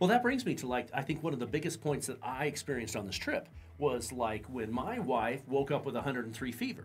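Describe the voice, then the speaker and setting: Faint music can be heard in the background. A man talks over it. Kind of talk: casual conversation. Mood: relaxed, laughing. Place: studio.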